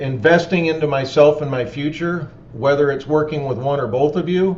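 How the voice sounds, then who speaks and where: A plain, everyday voice from a man, fairly high in pitch, with fairly even intonation at a moderate pace. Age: 50s. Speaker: roofing company owner. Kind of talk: webinar Q&A.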